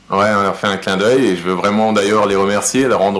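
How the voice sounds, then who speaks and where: With noticeable noise in the background, a man's fairly low voice carries ordinary variation in pitch. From Alsace, France. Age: 40s. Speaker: helicopter pilot and rum brand founder. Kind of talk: interview. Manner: hesitant, many fillers.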